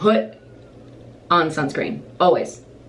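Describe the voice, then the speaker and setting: A woman's voice with audible room echo. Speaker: stage actor and vlogger. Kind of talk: casual chat. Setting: at home, filming while getting ready. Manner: rambling.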